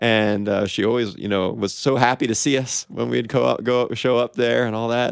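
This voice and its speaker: Speaking with hardly any pauses, a man with an American accent has an unremarkable speaking voice at medium pitch and fairly even intonation. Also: moderate pace. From Kansas City. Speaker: TV news reporter. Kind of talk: casual radio interview. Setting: radio studio.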